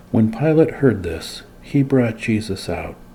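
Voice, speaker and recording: Soft-spoken, a man talks at a fairly slow pace with ordinary pitch variation. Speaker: Bible teacher. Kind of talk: ASMR Bible reading with commentary.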